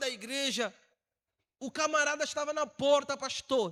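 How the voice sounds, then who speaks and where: In a raised, projected voice, a man sounds animated, with a bright, sharp tone at an extremely high pitch. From Angola. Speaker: missionary preacher. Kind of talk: sermon. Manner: animated storytelling.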